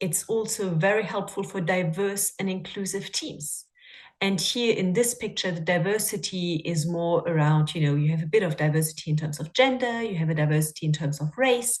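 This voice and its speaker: A woman's somewhat breathy voice at a moderate pace against a quiet background. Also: medium pitch for a woman, ordinary pitch variation. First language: not English. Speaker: coach. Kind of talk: webinar talk. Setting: video call.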